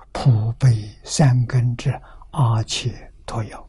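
A man speaks at medium pitch in a somewhat breathy voice with a dark, mellow tone. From rural China. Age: 80s+. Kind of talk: sutra lecture. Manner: frequent filler 'ah' interjections.

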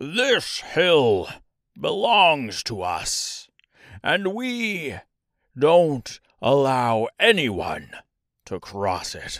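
A man's put-on character voice, medium in pitch and fairly bright in tone, with very wide pitch swings at a very slow pace, on a very clean recording with a silent background.

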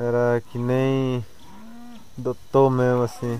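Noticeable background noise sits behind a man's voice. He speaks at a medium pitch in a monotone, flat intonation. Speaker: shaman. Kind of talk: testimony. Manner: halting.

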